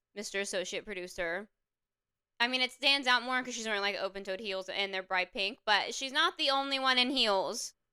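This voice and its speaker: On a very clean recording with a silent background, a woman with a Southern accent speaks at a high pitch and a fairly quick pace. Her tone is animated, bright and sharp, with lively intonation. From US South, upstate South Carolina (Anderson area). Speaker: YouTuber reviewing a TV show. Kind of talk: casual commentary.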